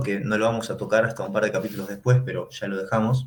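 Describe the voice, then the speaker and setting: Fairly even in intonation and medium in pitch, this man has a plain, everyday voice. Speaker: economics teacher. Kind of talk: lecture.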